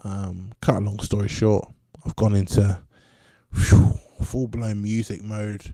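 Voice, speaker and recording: Speaking at a fairly slow pace with an English accent, a man uses a fairly low pitch, and the sound is dry and close with no echo. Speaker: musician and podcaster. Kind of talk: casual monologue. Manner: hesitant, many fillers.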